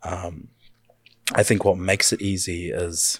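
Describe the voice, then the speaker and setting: Somewhat breathy and very deep and low in pitch, a man speaks at a fairly slow pace in a dry, close sound with no echo. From New Zealand, North Island (Murupara). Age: 30s. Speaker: community youth worker. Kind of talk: casual interview conversation. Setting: studio, in person.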